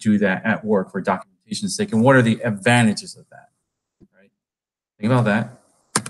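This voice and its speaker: This is a man with a medium pitch. He talks at a fairly quick pace. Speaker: pre-sales engineer presenting at a developer meetup. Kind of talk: technical presentation. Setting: meetup with live audience. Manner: casual, talkative.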